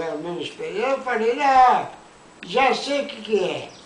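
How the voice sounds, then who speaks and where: Noticeable background noise runs under the speech. The intonation is lively. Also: man. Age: old. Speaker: grandfather storyteller. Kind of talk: casual telling of a childhood anecdote.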